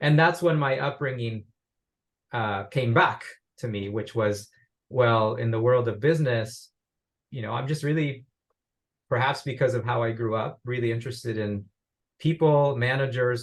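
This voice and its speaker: Pausing long and often, a man speaks at a moderate pace in a somewhat breathy, medium-pitched voice with ordinary pitch variation. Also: quiet background. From Uruguay. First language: Spanish. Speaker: business professor. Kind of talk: interview.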